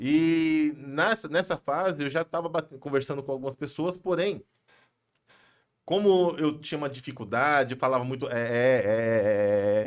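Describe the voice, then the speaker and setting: A man with an ordinary speaking voice talks at a moderate pace in a fairly high pitch, his intonation lively. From São Paulo, Brazil. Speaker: pastor and businessman. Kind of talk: podcast interview. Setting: live podcast studio.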